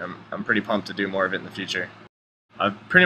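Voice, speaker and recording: Noticeable background noise sits behind a man speaking at a very fast pace. His pitch is fairly low. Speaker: gamer, speedrunner. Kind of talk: gameplay commentary.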